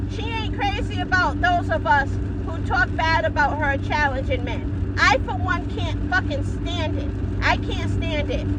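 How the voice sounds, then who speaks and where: A woman speaks at a fairly slow pace. Her voice carries audible room echo amid noticeable background noise. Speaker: boxing vlogger. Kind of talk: casual vlog monologue. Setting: in a car. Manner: loud; animated.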